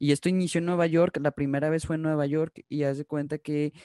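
Recorded with a dry, close sound and no echo, a man talks very fast in a dark, mellow tone. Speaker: podcast host. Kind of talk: casual chat.

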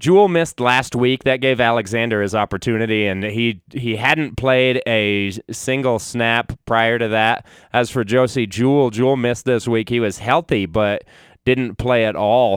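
Speaking in a plain, everyday voice, a man keeps a moderate pace. His pitch is medium, with ordinary pitch variation. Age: 30s. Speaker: sports podcast host. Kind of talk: solo sports analysis podcast.

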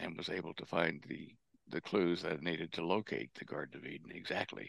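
At a moderate pace, a man with a very deep, low voice speaks with fairly even intonation. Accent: American. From Texas. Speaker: propulsion engineer and researcher. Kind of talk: interview. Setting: remote call.

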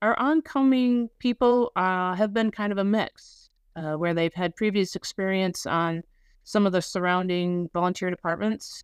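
A woman speaks at a fairly slow pace in a normal speaking voice, medium in pitch with ordinary pitch variation. The sound is dry and close with no echo, over a quiet background. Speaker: fire chief. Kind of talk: interview.

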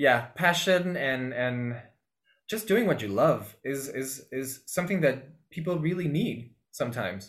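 In a room with audible echo, a man with a fairly high pitch speaks at a fairly slow pace. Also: lively intonation. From Peru, Lima. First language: Spanish. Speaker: actor. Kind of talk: interview. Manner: halting, many repetitions.

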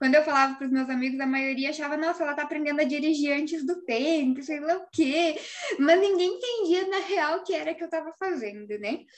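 Noticeable background noise sits behind a woman with a high pitch. She talks at a fairly quick pace with ordinary pitch variation. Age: 20s. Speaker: engineer and design office owner. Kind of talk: casual interview chat.

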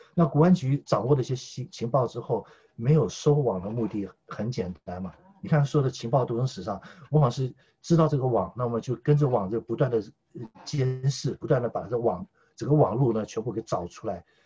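With a dark, mellow tone and a somewhat breathy quality, a man speaks fairly quickly at medium pitch with ordinary pitch variation. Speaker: political commentator. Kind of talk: casual chat. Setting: remote call.

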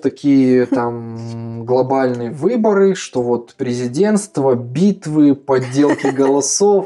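With a normal speaking voice, a man talks at a fairly high pitch using lively intonation. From Kazakhstan. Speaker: education center founder. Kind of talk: casual interview.

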